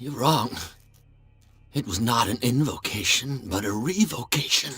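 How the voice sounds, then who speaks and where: Put-on character voice from a man, medium in pitch. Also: moderate pace. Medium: video game. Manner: frantic, stammering, fearful.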